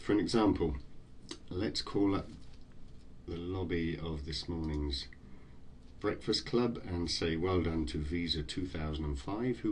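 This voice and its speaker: Speaking at a fairly slow pace, a man with a very deep, low pitch sounds somewhat breathy against audible room echo. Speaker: tutorial narrator. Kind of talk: screen-recorded software tutorial.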